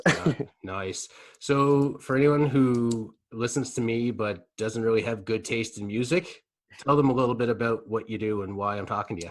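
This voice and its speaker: A man with a Nova Scotian accent talks at medium pitch on a very clean recording with a silent background. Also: ordinary pitch variation, moderate pace. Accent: Nova Scotian Canadian English. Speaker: comedian, podcast host. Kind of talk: casual chat. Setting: socially distanced sit-down interview.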